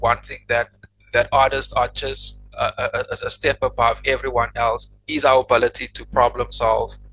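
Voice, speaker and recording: The pace of this man's speech is fairly slow. In the background, music plays faintly. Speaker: podcast host. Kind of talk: podcast interview, casual conversation. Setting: faulty microphone, poor audio quality. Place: home room. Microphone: studio mic.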